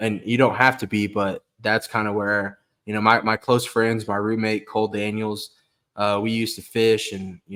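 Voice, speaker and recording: On a very clean recording with a silent background, the voice speaks fairly quickly in an American accent with monotone, flat intonation. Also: man. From Kansas. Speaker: outdoorsman. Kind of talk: casual chat.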